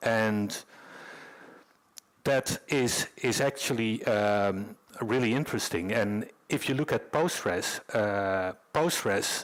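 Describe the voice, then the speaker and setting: With a Dutch accent, a man speaks very slowly at a medium pitch, his loudness very even. His pitch varies in an ordinary way, and he pauses long and often. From Netherlands. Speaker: conference speaker, developer advocate. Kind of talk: conference talk. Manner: halting, many fillers.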